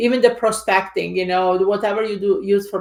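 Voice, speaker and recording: A woman talks at a fairly quick pace with an Italian accent. Her intonation is fairly even. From Italy. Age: 50s. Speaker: real estate investor and coach. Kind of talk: interview.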